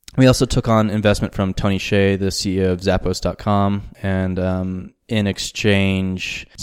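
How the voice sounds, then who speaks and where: On a very clean recording with a silent background, a man with a Southwestern US accent speaks in a fairly low, monotone, flat voice at a moderate pace. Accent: American, Southwestern. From US Southwest, New Mexico. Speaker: startup managing director. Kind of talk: interview.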